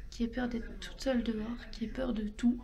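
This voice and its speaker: Soft-spoken and fairly high in pitch, a woman talks at a fairly slow pace with monotone, flat intonation over noticeable background noise. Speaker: vlogger. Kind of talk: casual vlog talk. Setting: motorway rest area toilets; toilets. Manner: hesitant, many fillers.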